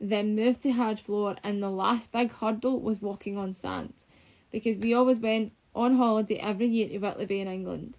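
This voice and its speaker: Monotone and flat, a woman talks at a fairly quick pace in a fairly high pitch. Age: 20s. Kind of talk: personal sit-down vlog.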